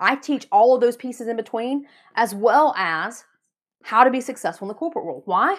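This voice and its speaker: A woman speaks in a high, animated voice with lively intonation. Her pace is fairly quick. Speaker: podcast host and business coach. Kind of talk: solo podcast monologue on business advice. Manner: fast talker when passionate; animated, motivational.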